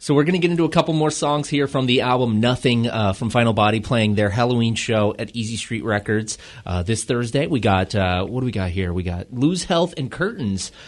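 A man's medium-pitched, normal speaking voice, with lively intonation at a fairly quick pace. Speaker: radio host. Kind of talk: radio DJ patter, local-music show intro and interview. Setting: radio studio with band guests. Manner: upbeat, casual, friendly radio banter; quick, punchy promo-style delivery.

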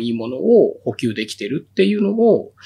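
A man's fairly high voice moves in very wide pitch swings. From Tokyo. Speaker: beekeeper. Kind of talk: interview.

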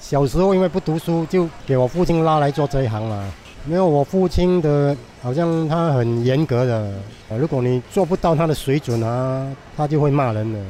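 Speaking at a moderate pace, a man with a fairly high pitch shows ordinary pitch variation over noticeable background noise. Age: 60s. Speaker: hawker. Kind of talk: interview testimony. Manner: animated with laughter.

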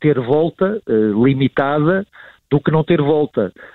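This is a man's voice. His intonation is lively. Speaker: marketing professor and sports marketing expert. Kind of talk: radio interview commentary. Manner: hesitant with repetitions and fillers.

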